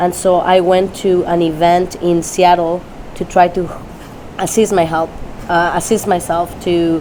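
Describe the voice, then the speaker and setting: With a Spanish accent, a woman speaks at a fairly low pitch in a monotone, flat way, at a fairly slow pace with long, frequent pauses, over noticeable background noise. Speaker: dog trainer. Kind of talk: interview. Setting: Tampa, Florida. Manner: halting.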